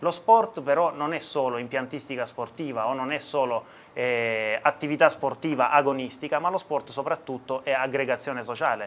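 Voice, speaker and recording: At a moderate pace with hardly any pauses, a man speaks at a fairly high pitch with ordinary pitch variation. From southern Italy, Apulia (Taranto province); Apulia, Italy. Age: 30s. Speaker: mayoral candidate; candidate. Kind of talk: election debate. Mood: calm, measured, formal. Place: studio. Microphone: lapel.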